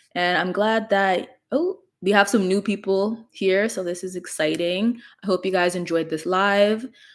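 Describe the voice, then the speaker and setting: A woman with a normal speaking voice and medium pitch speaks at a fairly slow pace with fairly even intonation, on a very clean recording with a silent background. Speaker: gut health content creator. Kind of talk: livestream talk. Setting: livestream.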